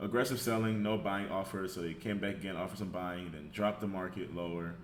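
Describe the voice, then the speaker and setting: A man with an unremarkable speaking voice talks at a fairly low pitch and a fairly quick pace, with ordinary pitch variation. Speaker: trader. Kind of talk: trading chart breakdown.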